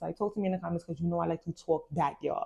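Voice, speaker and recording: Animated in tone, a woman talks at a very fast pace. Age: 30s. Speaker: book club podcast host. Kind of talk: casual chat with reading aloud.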